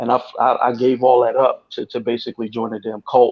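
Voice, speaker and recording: A man with a New York accent speaks in a monotone, flat intonation. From New York City. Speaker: ex-cult member. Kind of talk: testimony. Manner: halting.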